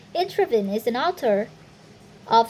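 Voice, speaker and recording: A woman speaks over noticeable background noise. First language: not English. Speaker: university student. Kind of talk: reading aloud. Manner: halting, with self-corrections.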